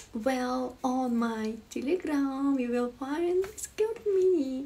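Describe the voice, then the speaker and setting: The speaker uses lively intonation at a very slow pace. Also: woman. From Ukraine. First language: Ukrainian (speaking Spanish). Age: 20s. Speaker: livestreamer. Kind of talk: live stream chat with viewers. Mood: friendly, playful. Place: home room. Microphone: phone near.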